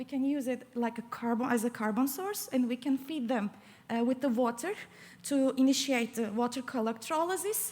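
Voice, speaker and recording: Speech comes at a moderate pace with ordinary pitch variation and a non-native accent. Noticeable background noise runs underneath. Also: woman, high pitch for a woman. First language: not English. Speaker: PhD student. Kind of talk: competition pitch presentation. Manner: halting, many fillers.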